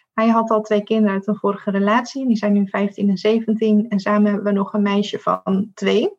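At a moderate pace, a woman speaks in a somewhat breathy, fairly high voice with a monotone, flat intonation. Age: 30s. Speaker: diversity and inclusion consultant. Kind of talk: interview.

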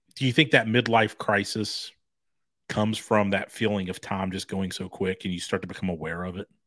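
With a plain, everyday voice, a man speaks at a fairly quick pace and fairly low pitch in a very clean recording with a silent background. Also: fairly even intonation. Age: 40s. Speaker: podcast co-host. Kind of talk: casual chat. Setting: home studio.

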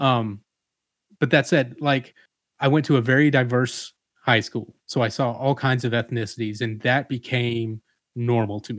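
A man with an American accent and a plain, everyday voice, medium pitch, fairly even intonation and a moderate pace, on a very clean recording with a silent background. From US South, Atlanta, Georgia. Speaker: father, church member. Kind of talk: casual discussion.

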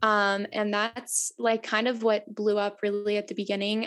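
A woman with an American accent uses an ordinary speaking voice, talking at a moderate pace in a medium pitch with fairly even intonation. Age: 20s. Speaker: photographer and photography educator. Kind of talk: casual interview chat.

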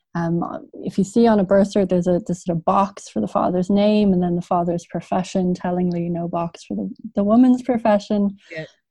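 The voice has a dark, mellow tone and is somewhat breathy, with a Dublin accent. It moves at a fairly quick pace with ordinary pitch variation. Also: woman, medium pitch for a woman. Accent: Dublin Irish. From Ireland, Dublin. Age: 30s. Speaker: journalist and author. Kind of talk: interview. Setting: video call. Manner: halting, frequent fillers.

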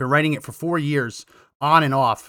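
A man talks at a fairly quick pace. His tone is bright, sharp and animated. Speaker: political podcast host. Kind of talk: live-streamed political commentary.

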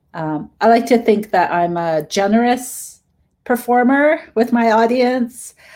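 A woman with a Canadian accent, a normal speaking voice, fairly high pitch and lively intonation, at a fairly slow pace on a very clean recording with a silent background. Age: middle-aged. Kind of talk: interview.

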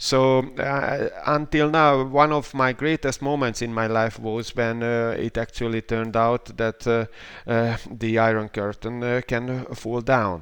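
Someone with a Hungarian accent speaks at a fairly slow pace with hardly any pauses, over noticeable background noise. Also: man, medium pitch for a man. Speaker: professor of political science and philosophy. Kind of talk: interview. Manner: halting. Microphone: questionable connection.

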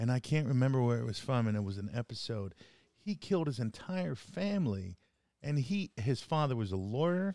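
A man speaks at a fairly quick pace in a medium pitch with very wide pitch swings and a dark, mellow tone, recorded very cleanly against a silent background with a dry, close sound and no echo. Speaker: podcast co-host. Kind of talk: casual banter. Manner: animated, talkative.

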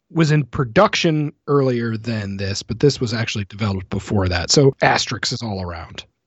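Speaking at a fairly quick pace with hardly any pauses, a man with a medium pitch sounds somewhat breathy and uses lively intonation. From rural Canada. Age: 30s. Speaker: podcast host. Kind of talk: casual chat.

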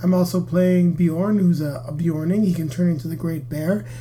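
A high-pitched man's voice with ordinary pitch variation. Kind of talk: casual chat with co-host.

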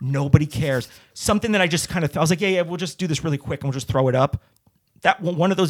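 A man with an American accent talks at a very fast pace with ordinary pitch variation. The sound is dry and close with no echo, on a very clean recording with a silent background. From New Jersey. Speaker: stand-up comedian and actor. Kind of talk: casual interview chat.

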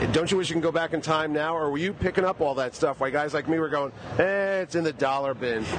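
A man speaks very rapidly while clearly audible noise fills the background. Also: fairly high pitch for a man, ordinary pitch variation. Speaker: convention reporter. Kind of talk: field interview report.

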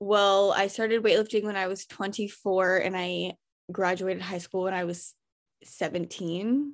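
A woman talks in an unremarkable speaking voice at a moderate pace, with medium pitch and fairly even intonation. The recording is very clean, with a silent background. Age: 20s. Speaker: weightlifter. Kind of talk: casual chat.

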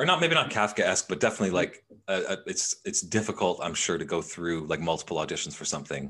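A man speaks at a very fast pace with hardly any pauses. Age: 30s. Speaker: podcast host. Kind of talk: casual chat.

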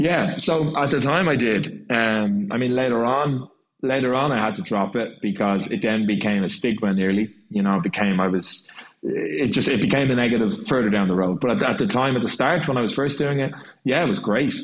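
A man's medium-pitched voice with an Irish accent, lively intonation and a fairly quick pace, very even in loudness, with audible room echo. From Ireland. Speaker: jazz and swing singer. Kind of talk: casual chat.

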